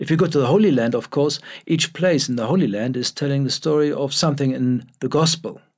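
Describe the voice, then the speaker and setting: A man with a fairly high pitch talks very fast, and his pitch varies in an ordinary way. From Germany. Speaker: newspaper editor and pilgrimage leader. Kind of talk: interview.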